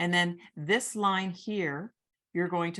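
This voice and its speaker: A woman does the talking. Her voice is fairly low in pitch. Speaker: origami teacher. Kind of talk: tutorial.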